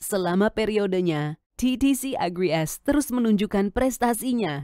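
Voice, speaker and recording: The tone is dark and mellow, the sound dry and close with no echo. Delivery is fairly slow, with lively intonation. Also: woman. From Indonesia. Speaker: voice-over artist. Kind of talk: corporate narration.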